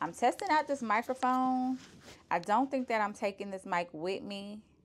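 At a moderate pace, a woman speaks. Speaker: travel vlogger. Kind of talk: casual vlog chat. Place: home room. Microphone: lapel.

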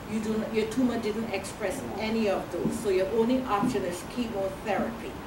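With noticeable background noise behind her, a woman speaks with ordinary pitch variation. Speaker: presenter. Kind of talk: question-and-answer talk. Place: hall.

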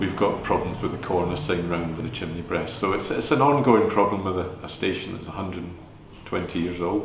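There is audible room echo and light background noise as a man speaks at a fairly quick pace. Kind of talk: interview answer. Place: shop.

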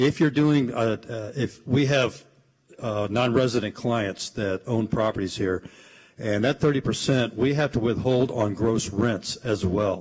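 With ordinary variation in his medium pitch, a man speaks in a somewhat breathy voice. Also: fairly slow pace. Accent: American. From Austin, Texas. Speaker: accountant. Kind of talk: panel discussion.

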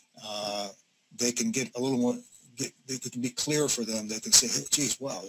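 Over loud background noise, a man speaks at a fairly quick pace with an American accent. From US Midwest, Northeast Ohio (Youngstown area); Ohio. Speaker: business consultant, former HR executive; presenter. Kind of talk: webinar presentation. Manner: hesitant, many fillers. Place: home room.

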